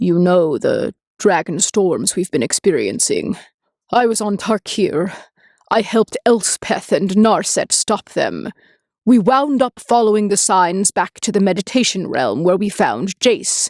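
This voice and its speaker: A woman uses a put-on character voice at a medium pitch and a fairly slow pace. The recording is very clean, with a silent background. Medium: read story. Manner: low, hesitant.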